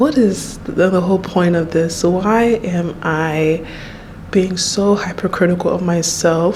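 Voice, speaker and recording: At a fairly slow pace and medium pitch, a woman speaks with ordinary pitch variation over noticeable background noise and audible room echo. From Nigeria. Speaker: YouTuber. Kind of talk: personal vlog monologue. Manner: halting, repeats words.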